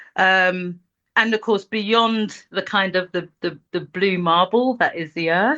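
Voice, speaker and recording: At a very slow pace, a woman with a London accent speaks in a medium-pitched, bright, sharp tone with ordinary pitch variation against a quiet background. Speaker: multidisciplinary artist. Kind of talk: casual interview conversation.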